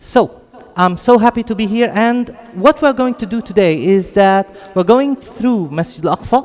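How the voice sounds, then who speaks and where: A British accent comes through at a moderate pace with lively intonation over noticeable background noise. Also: man, high pitch for a man. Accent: British-tinged, from studying in the UK. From Jerusalem, Palestine. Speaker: lecturer on Islamic heritage. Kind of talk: lecture. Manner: hesitant, many fillers.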